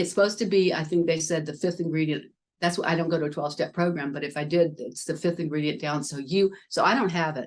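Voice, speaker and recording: A woman speaks at a very fast pace. She has a Southern US accent. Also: fairly low pitch for a woman. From US South. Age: old. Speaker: spiritual wellness business owner. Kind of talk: casual interview chat. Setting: video podcast. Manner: animated.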